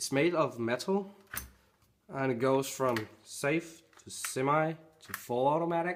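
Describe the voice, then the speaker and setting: Fairly high pitch from a man, with ordinary pitch variation. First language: not English. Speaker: airsoft reviewer. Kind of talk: product review tutorial. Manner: casual, hesitant with fillers.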